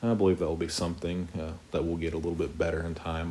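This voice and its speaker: With an American accent, a man speaks quietly in a strained, very deep, low voice with monotone, flat intonation, and audible room echo surrounds him. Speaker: Bible teacher. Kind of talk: Bible study teaching. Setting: home, living room at night. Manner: somewhat monotone; quiet, restrained volume.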